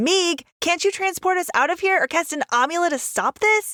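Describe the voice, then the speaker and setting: Using a put-on character voice, a woman sounds squeaky at an extremely high pitch, with lively intonation, a moderate pace and a dry, close sound with no echo. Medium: read story.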